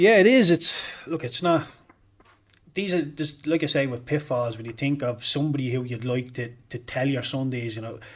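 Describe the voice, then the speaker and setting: A man with a Dublin accent, fairly high in pitch, with ordinary pitch variation at a moderate pace. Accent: Dublin Irish. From Ireland, Dublin. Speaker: former footballer. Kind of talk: interview. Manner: halting.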